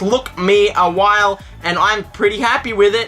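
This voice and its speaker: A woman with an Australian accent talks in an animated tone while music plays in the background. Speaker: YouTuber. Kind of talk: casual vlog, opening fan mail.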